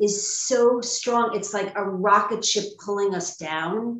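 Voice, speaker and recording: A woman speaks with an American accent at a medium pitch. Her pace is very slow. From New York, Long Island. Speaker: spiritual coach and EFT practitioner. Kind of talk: interview testimony.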